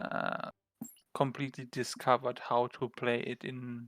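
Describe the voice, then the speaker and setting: A man with a strong German accent speaks at a medium pitch in a flat monotone, at a fairly slow pace. The sound is dry and close, with no echo. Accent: German, thick. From Germany. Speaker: esports co-caster. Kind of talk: live commentary.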